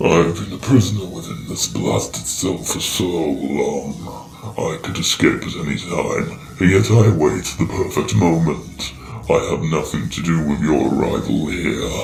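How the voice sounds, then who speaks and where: A man does a put-on character voice at a moderate pace. There is slight echo and clear background noise. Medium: audio drama. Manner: grandiose, theatrical.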